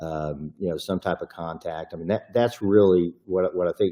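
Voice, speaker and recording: A man with a Texan accent at a fairly quick pace. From Texas. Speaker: private investigator and attorney. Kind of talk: podcast interview. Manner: casual, with many fillers.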